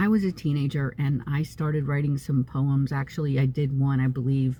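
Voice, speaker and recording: In an American accent, a woman speaks with a very deep, low pitch and a somewhat breathy, dark, mellow tone. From US Northeast (upstate New York). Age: 60s. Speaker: psychic medium vlogger. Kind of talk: casual vlog monologue. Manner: halting, many fillers.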